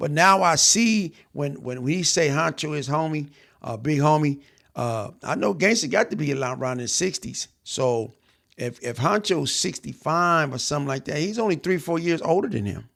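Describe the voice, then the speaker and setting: Speaking at a moderate pace, a man uses lively intonation and a fairly high pitch. The recording is very clean, with a silent background. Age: 60s. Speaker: podcast host, former gang member. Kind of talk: casual reaction commentary.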